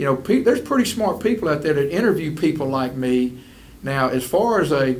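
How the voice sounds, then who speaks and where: With a Southern US accent, a man talks at a fairly quick pace and a fairly high pitch. His pitch swings very widely, and audible room echo is present. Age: 60s. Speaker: school superintendent. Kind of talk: interview.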